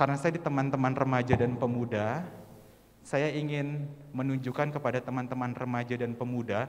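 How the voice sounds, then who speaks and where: Room echo is audible as a man of medium pitch speaks. His pace is fairly quick and his intonation fairly even. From West Java (Sundanese region), Indonesia. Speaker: church youth worship singer and speaker. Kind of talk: church training talk to congregation.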